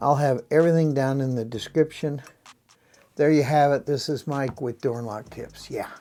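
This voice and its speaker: A man with a plain, everyday voice speaks at a moderate pace and fairly high pitch, with fairly even intonation. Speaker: locksmith tutorial youtuber. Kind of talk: tutorial.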